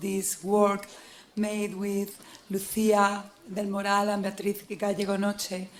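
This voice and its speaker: A fairly slow, monotone delivery with flat intonation and audible room echo. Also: woman. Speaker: academic presenter. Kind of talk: conference presentation.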